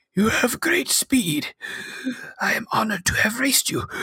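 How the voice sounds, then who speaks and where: A woman uses a put-on character voice, pitched high and delivered at a moderate pace. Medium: actual play. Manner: formal, respectful.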